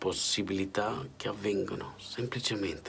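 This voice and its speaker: A man speaks at a fairly slow pace in a fairly low pitch, with ordinary pitch variation over light background noise. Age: 40s. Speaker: political commentator. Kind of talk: spoken editorial. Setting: hotel room. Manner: impassioned. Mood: indignant, weary. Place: home room. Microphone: phone near.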